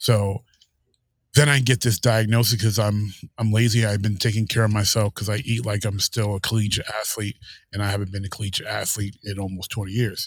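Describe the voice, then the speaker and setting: In a very clean recording with a silent background, a man speaks at a fairly quick pace in a fairly low, somewhat breathy voice with monotone, flat intonation. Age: 30s. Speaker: book club panelist. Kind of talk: casual chat.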